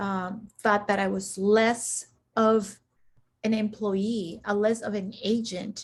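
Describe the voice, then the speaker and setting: A woman's somewhat breathy, fairly high voice at a very slow pace, in a monotone, flat intonation. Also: quiet background. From Central America. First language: Spanish. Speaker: executive coach and military veteran. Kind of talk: interview.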